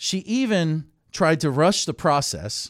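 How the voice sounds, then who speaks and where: A man's plain, everyday voice, fairly high in pitch with lively intonation, in a dry, close sound with no echo. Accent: American. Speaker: radio host. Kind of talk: talk radio interview and call-in. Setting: studio.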